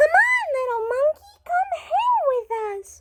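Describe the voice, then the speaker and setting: Using a put-on character voice, the speaker squeaks at an extremely high pitch and a fairly slow pace. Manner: gleeful, inviting.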